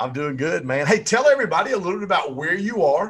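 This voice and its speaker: Using lively intonation, a man with a Southern US accent talks at a fairly quick pace. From Michigan, Pontiac. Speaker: podcast host. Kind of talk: casual interview.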